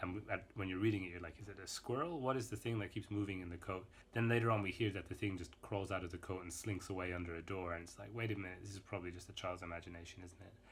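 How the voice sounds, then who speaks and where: Somewhat breathy and very deep in pitch, this man talks at a very fast pace with hardly any pauses and fairly even intonation. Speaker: book vlogger. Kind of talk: casual talk to camera. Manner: casual, hesitant.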